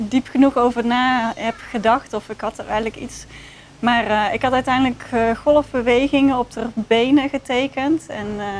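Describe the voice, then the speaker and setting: With a Dutch accent and a high pitch, a woman speaks at a moderate pace with fairly even intonation and big swings in loudness, over noticeable background noise. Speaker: research participant. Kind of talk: casual chat. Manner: halting.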